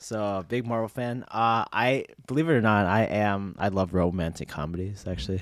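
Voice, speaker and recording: Recorded very cleanly against a silent background, a man with an ordinary speaking voice speaks at a moderate pace in a fairly low pitch with ordinary pitch variation. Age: 20s. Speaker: podcast co-host. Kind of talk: casual chat.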